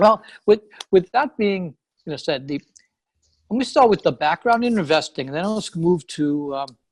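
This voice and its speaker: A man speaks at a moderate pace with long, frequent pauses, a high pitch and very wide pitch swings, in a dry, close sound with no echo. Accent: strong New York. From New York, Long Island. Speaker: real estate investor. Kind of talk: interview. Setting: call.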